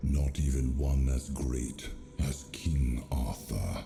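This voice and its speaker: In a put-on character voice with a solemn tone, the speaker goes at a very slow pace, with clear echo and clear background noise. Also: man. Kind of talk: epic fantasy voice acting. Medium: video game. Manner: solemn, archaic.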